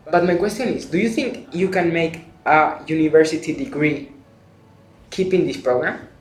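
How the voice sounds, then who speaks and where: There is audible room echo around a man who speaks with a high pitch. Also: ordinary pitch variation, moderate pace. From Spain. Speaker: exchange student, video creator. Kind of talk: interview.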